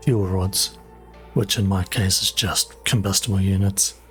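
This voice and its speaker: A man speaks at a fairly slow pace. There is music in the background. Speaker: gaming video creator. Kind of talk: casual gameplay commentary. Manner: softer than usual.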